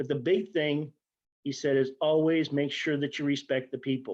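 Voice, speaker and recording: This man has an ordinary speaking voice. He talks at a moderate pace with a fairly high pitch. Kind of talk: interview answer.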